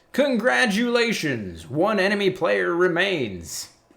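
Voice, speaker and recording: In a put-on character voice, a man speaks at a high pitch. His pace is fairly slow. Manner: announcing.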